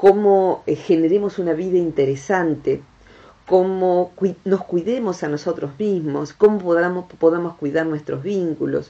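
In an Argentine accent, a woman talks with a dark, mellow tone at a fairly low pitch. Her pace is fairly slow and her intonation fairly even. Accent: Argentine Rioplatense. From Argentina. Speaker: radio host, national broadcaster. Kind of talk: radio interview host. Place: studio.

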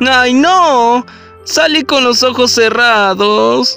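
A put-on character voice with a fairly high pitch goes at a very slow pace over clear music in the background. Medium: dub.

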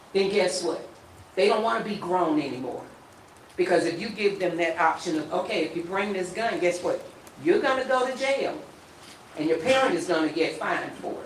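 Noticeable background noise runs beneath speech at a fairly quick pace broken by long, frequent pauses. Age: 60s. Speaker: resident speaking at council meeting. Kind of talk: public comment at city council meeting.

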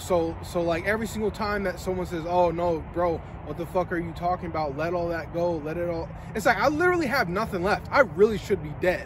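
With a high voice and ordinary pitch variation, a man talks at a fairly quick pace in a dry recording with no echo and noticeable background noise. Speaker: vlogger. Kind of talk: casual vlog chat. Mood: earnest, reflective. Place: street. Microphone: camera far.

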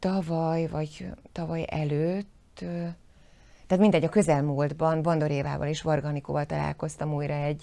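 A woman at a very deep, low pitch with a dark, mellow tone, fairly even intonation and a moderate pace. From southern Slovakia, Zselíz (Želiezovce), Hungarian minority; southern Slovakia. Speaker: actress. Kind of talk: interview. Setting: studio. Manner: halting, many repeated words. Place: studio.

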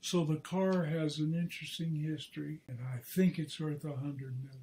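A man's fairly slow, fairly even delivery in a dark, mellow tone. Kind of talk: interview answer. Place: home room.

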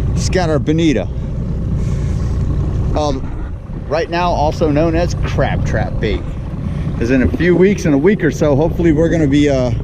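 Over noticeable background noise, with dry sound and no echo, a man speaks at a moderate pace with ordinary pitch variation and long, frequent pauses. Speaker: fishing host. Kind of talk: casual vlog chat. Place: boat. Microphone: phone near.

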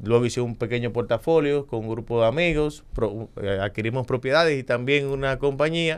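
His delivery moves along fairly quickly. The man's pitch rises and falls in the usual way. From Dominican Republic. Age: 40s. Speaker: politician. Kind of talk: interview. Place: studio. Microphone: studio mic.

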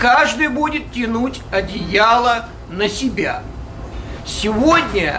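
Over light background noise, a man uses a raised, projected voice at an extremely high pitch, speaking at a very slow pace with ordinary pitch variation. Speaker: audience member. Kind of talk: audience question. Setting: live audience, microphone. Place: hall.

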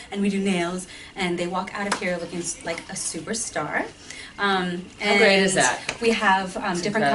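Over noticeable background noise, a woman talks at a fairly quick pace with fairly even intonation. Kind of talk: interview answer. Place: empty room. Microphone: camera far.

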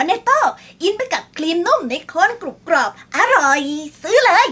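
A woman does a put-on character voice at extremely high pitch, with very wide pitch swings. Her loudness stays very even. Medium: role play.

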